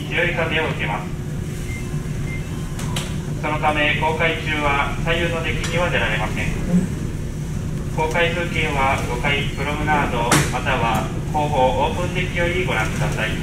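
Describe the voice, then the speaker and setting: Loud background noise fills the recording. A man speaks at a fairly slow pace. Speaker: ship crew announcer. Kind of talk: public address announcement.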